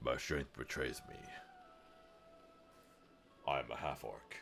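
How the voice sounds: A man does a put-on character voice, raspy and gruff, at a fairly slow pace. Clear music plays in the background.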